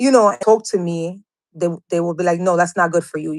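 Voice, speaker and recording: A strong Dominican accent at a fairly quick pace, with ordinary pitch variation. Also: woman. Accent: heavy Dominican Spanish. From Dominican Republic, raised from childhood in New York. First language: Spanish. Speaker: interview guest sharing personal experiences. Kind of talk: testimony. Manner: halting.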